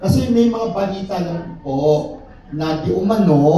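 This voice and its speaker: A man at a fairly slow pace, lively in intonation, amid audible room echo and noticeable background noise. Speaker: entertainment reporter. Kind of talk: press conference Q&A.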